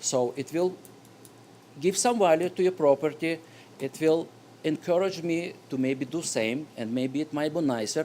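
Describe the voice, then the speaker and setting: Talking at a moderate pace with long, frequent pauses, a man with a non-native accent has a fairly high pitch, a dark, mellow tone and ordinary pitch variation. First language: not English. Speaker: resident speaking at public hearing. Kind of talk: public comment at zoning board meeting. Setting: town hall meeting room. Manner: halting.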